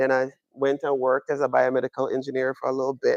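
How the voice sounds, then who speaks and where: In a Jamaican accent, a man talks at a very fast pace with monotone, flat intonation in a dry, close sound with no echo. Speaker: astronomy professor. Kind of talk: public lecture. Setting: observatory with live audience.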